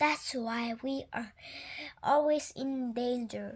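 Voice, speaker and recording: A woman uses a put-on character voice pitched high. Her pace is very slow. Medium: read story.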